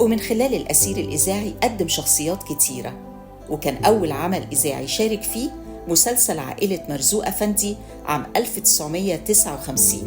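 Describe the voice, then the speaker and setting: At a moderate pace, the speech unfolds with music playing behind it. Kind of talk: documentary biography narration.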